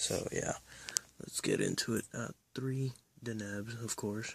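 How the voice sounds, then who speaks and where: Quiet and very slow, a man speaks at a medium pitch with monotone, flat intonation. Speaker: card game deck reviewer. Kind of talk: deck profile tutorial.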